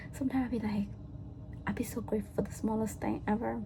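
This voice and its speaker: A woman's very fast speech over noticeable background noise. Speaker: vlogger. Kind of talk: casual chat.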